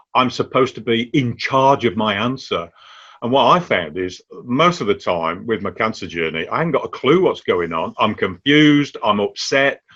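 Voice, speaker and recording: Vocal fry and a bright, sharp tone mark this man's voice. His pitch swings very widely against a quiet background. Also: medium pitch for a man, moderate pace. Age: 60s. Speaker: cancer patient and cancer champion. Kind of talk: interview.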